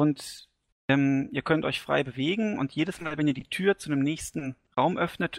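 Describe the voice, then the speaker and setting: A man's fairly high voice at a moderate pace, in a very clean recording with a silent background and a dry, close sound with no echo. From Hesse, Germany. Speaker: gaming community member. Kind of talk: casual chat.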